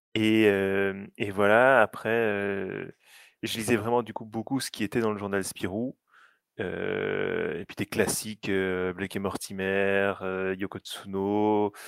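A man speaks very slowly at a fairly low pitch with monotone, flat intonation. The recording is very clean, with a silent background. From Belgium. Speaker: app director for fan site. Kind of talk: casual chat.

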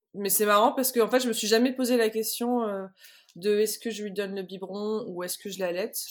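A woman's fairly high voice at a fairly quick pace, with fairly even intonation, big swings in loudness and long, frequent pauses. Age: 30s. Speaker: illustrator and mother. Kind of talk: testimony. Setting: remote recording. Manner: halting, many fillers and repetitions.

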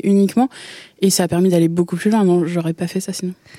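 The sound is dry and close with no echo as a woman speaks in a dark, mellow tone. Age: 20s. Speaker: amateur radio contributor. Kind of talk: casual chat. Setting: studio.

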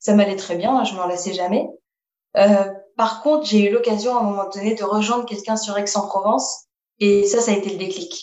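A woman with an ordinary speaking voice talks at a fairly quick pace, her medium pitch moving with ordinary pitch variation. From Paris region, France. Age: 20s. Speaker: roller skating traveller. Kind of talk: interview.

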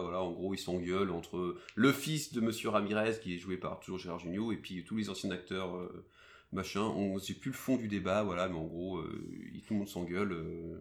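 Recorded very cleanly against a silent background, a man with an unremarkable speaking voice and a fairly low pitch speaks at a moderate pace. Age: 30s. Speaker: podcast host. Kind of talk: casual chat.

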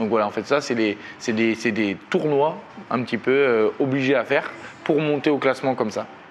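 With noticeable background noise around him, a man speaks at a medium pitch and moderate pace, his pitch varying in an ordinary way. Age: 30s. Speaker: professional boxer. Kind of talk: interview.

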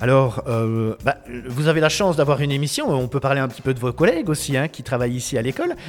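A man's fairly high voice at a very fast pace amid noticeable background noise. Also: ordinary pitch variation. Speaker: web radio host. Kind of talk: live radio show. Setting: school classroom. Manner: loud.

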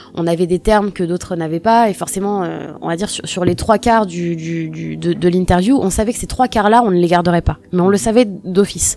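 Through noticeable background noise, a woman talks at a fairly quick pace with a fairly low pitch and ordinary pitch variation. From Normandy, France. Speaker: singer and former radio intern. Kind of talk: interview. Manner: halting.

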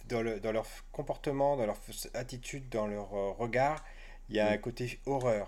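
A man's medium-pitched voice at a moderate pace, fairly even in intonation, broken by long, frequent pauses. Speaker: podcast host. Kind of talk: casual chat.

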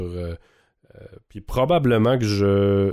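Very slowly and with fairly even intonation, a man with a fairly low pitch and a dark, mellow tone speaks in a Quebec accent on a very clean recording with a silent background. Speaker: podcast host. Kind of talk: casual chat.

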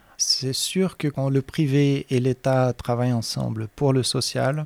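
A man with a Portuguese accent talks at a fairly slow pace, medium in pitch with ordinary variation. The sound is dry and close, with no echo. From Brazil, Minas Gerais. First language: Portuguese (speaking French). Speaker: professor and researcher. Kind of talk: interview.

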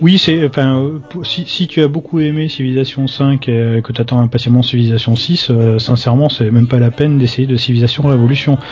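The man talks fairly quickly at a medium pitch, with fairly even intonation and a southwestern French accent. Noticeable background noise runs through the clip. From southwest France. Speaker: video game pundit. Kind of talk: casual chat. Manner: halting, repeats words.

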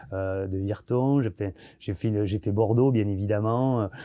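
Against a quiet background, a man talks with a dark, mellow tone. His pitch is fairly low, with ordinary pitch variation. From southwest France, Arcachon basin. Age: 40s. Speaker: chef. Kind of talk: interview.

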